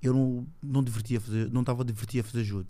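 A man's medium-pitched voice with a dark, mellow tone, fairly even intonation and a very fast pace. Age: 20s. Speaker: judo athlete. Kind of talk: casual chat.

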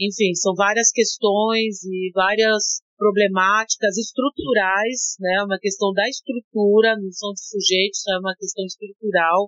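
A woman at medium pitch talks at a fairly slow pace with hardly any pauses, using a normal speaking voice and fairly even intonation. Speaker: rapper and art educator. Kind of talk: interview.

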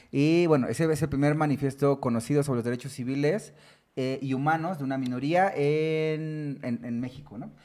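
A man's dark, mellow tone holds fairly even intonation as he talks at a moderate pace. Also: fairly high pitch for a man. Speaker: podcast host. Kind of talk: casual chat.

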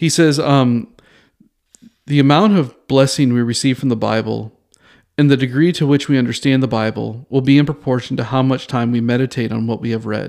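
A man at a moderate pace, medium in pitch, with ordinary pitch variation. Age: 40s. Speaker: podcast host teaching theology. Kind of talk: solo teaching podcast on Bible study. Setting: recording alone in a bathroom at a bistro table. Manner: casual with frequent fillers and restarts.

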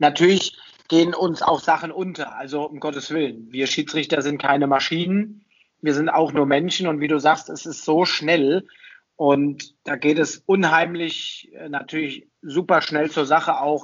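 A man with an unremarkable speaking voice and fairly even intonation. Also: fairly high pitch for a man, fairly slow pace. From Germany, Hesse (Taunus). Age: 30s. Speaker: ice hockey referee. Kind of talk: podcast interview.

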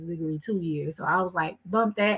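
A woman with a Texan accent and a bright, sharp tone talks at a fairly quick pace. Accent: Texan American. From Texas (Waco). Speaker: math professor. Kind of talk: interview chat.

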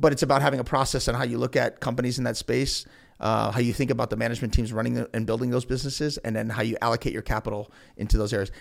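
Talking at a very fast pace, a man with a medium-pitched voice and vocal fry keeps his intonation fairly even. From Ohio, Elyria. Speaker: investment company founder. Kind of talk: interview.

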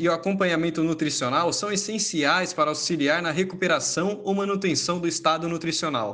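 Moderate pace and ordinary pitch variation from a man with a high voice. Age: 20s. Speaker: nutrition professional. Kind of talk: reading aloud. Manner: formal.

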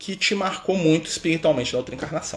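The voice belongs to a man. It sits at a fairly high pitch. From Minas Gerais, Brazil (Contagem). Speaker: spiritist study leader. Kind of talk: livestream talk. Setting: Instagram live stream. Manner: relaxed, filler-heavy with frequent né.

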